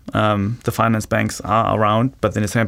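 Talking at a fairly quick pace, a man with a German accent has a fairly low pitch and monotone, flat intonation. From Germany. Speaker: venture capital investor. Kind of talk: interview.

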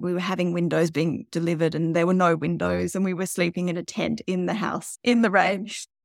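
A woman's fairly low voice with an Australian accent and vocal fry, ordinary pitch variation, moderate pace, a dry, close sound with no echo and a very clean recording with a silent background. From Tasmania, Australia. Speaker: novelist and geologist. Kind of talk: interview.

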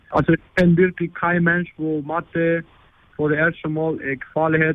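Here a man speaks with a Spanish accent. His pitch is fairly high and his pace moderate. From Argentina. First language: Spanish (speaking German). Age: 20s. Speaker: exchange student. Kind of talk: interview. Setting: phone call. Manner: halting, many fillers.

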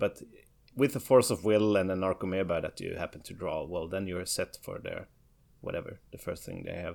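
In a Swedish accent, a man talks at a moderate pace. The recording is very clean, with a silent background. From Sweden. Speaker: competitive card game player. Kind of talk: casual chat.

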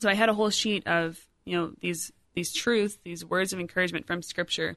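A woman with an American accent speaks at a very fast pace, fairly low-pitched with fairly even intonation and vocal fry. Her tone is bright and sharp against a quiet background. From US Midwest, Rockford, Illinois. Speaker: lay missionary, event coordinator. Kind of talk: personal testimony interview.

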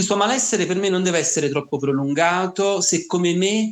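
A man's high-pitched voice moves at a fairly quick pace with ordinary pitch variation. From Naples, Italy. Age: 20s. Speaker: teacher, rare disease patient. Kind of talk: interview, personal testimony.

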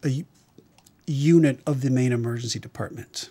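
At a moderate pace, a man speaks in an ordinary speaking voice with medium pitch and ordinary pitch variation, captured in a very clean recording with a silent background. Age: 60s. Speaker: emergency physician. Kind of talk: interview.

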